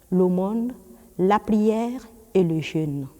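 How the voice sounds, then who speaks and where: A woman talks with lively intonation and a dark, mellow tone. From Burkina Faso. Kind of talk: interview, explanatory talk. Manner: formal.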